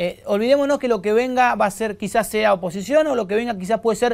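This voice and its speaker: A man is heard against a quiet background. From Argentina. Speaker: TV news interviewer. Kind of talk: news interview. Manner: halting. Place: studio.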